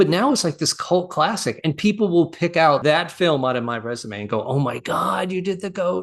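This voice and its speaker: A man speaks with a high pitch and lively intonation. His pace is moderate, with hardly any pauses. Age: 60s. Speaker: animal trainer. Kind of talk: interview. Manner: halting.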